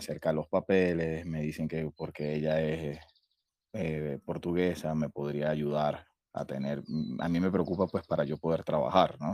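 In a dry, close sound with no echo, a man speaks at a fairly slow pace with a very deep, low pitch and fairly even intonation. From Venezuela, Valencia. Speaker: caller asking about emigration. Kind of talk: casual chat.

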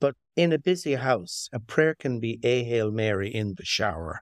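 A man speaks at a medium pitch with an Irish accent. The sound is dry and close with no echo, a very clean recording over a silent background. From Ireland, Limerick. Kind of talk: interview conversation.

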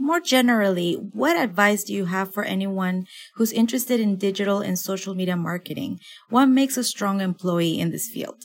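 A woman talks at a fairly quick pace and a medium pitch, with ordinary pitch variation. Hers is a plain, everyday voice. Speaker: podcast interviewer. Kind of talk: interview.

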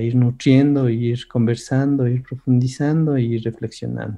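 Against a quiet background, a man with a medium pitch and a dark, mellow tone speaks at a moderate pace in a monotone, flat intonation. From Ecuador. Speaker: workshop lecturer. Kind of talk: online seminar lecture.

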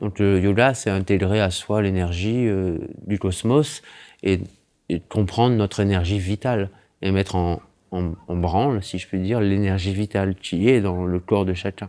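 A man speaks at a moderate pace with a fairly low pitch and a dark, mellow tone. His intonation is fairly even, and the recording is very clean with a silent background. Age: 40s. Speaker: ayurvedic massage practitioner. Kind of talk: casual interview. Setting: host's living room. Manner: halting.

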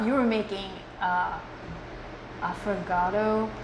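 A woman's fairly high-pitched voice comes through noticeable background noise. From Philippines. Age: 40s. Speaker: soap maker and artist. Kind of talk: casual chat.

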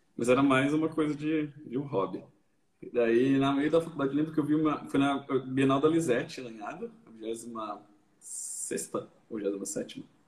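A man's plain, everyday voice, fairly high in pitch with ordinary pitch variation, at a fairly slow pace with big swings in loudness. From Brazil, São Paulo area (Barueri). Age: 30s. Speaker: artist. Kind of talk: casual chat. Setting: online live stream.

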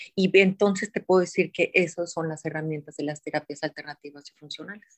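With a normal speaking voice, a woman talks in a fairly low pitch and with fairly even intonation. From Mexico, Guadalajara (Jalisco). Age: 50s. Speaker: wellness center founder. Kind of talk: interview.

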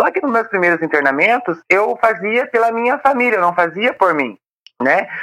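Pitched fairly high, a woman speaks at a moderate pace with very wide pitch swings and vocal fry. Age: 30s. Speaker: volunteer, recovering addict. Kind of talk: interview testimony.

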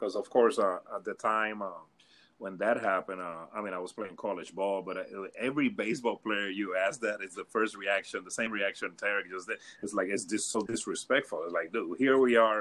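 A man with an unremarkable speaking voice, fairly low in pitch, talks at a fairly quick pace with fairly even intonation. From Puerto Rico, later Hawthorne, California. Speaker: former baseball scout. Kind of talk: casual chat. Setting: video call.

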